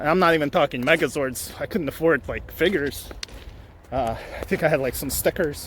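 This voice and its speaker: Over noticeable background noise, a man with a fairly high pitch talks at a fairly quick pace in a relaxed tone with ordinary pitch variation. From Ukraine, moved to Canada as a child. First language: Ukrainian or Russian. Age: 40s. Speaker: vlogger and collector. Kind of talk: casual vlog monologue. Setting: outdoors, walking. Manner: relaxed, halting with many fillers.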